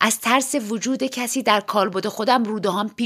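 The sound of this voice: The voice here is an unforced reading voice.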